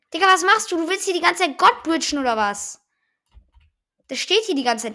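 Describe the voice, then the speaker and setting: A woman projects a raised voice in a bright, sharp tone, talking at a fairly quick pace with very wide pitch swings. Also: long, frequent pauses. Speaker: gaming podcaster. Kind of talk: live gameplay commentary. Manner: halting, many fillers.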